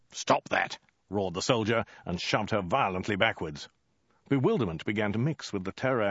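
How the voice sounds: A natural reading voice carries the whole clip.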